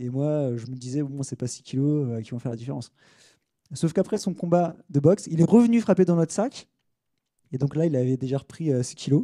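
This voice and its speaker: A man's fairly high voice, fairly quick and with lively intonation. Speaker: sports tech consultant. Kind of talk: conference talk. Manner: fast; hesitant, many fillers.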